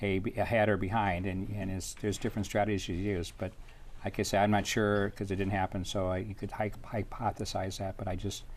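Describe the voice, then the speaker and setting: Speaking fairly quickly in a flat monotone, a man with an American accent keeps to a fairly low pitch. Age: 60s. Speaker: mayor. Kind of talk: interview. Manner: halting.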